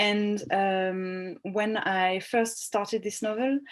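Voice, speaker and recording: A woman with a French accent speaks against a quiet background. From France, Bordeaux. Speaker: novelist. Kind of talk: interview. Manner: halting.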